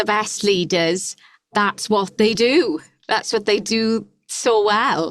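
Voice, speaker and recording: Speaking very slowly, a woman uses a fairly high pitch. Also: ordinary pitch variation, very even loudness. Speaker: podcast host. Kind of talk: podcast intro and interview.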